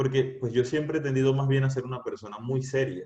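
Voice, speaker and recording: The man's medium-pitched voice moves along at a fairly quick pace. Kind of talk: youth talk. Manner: serious.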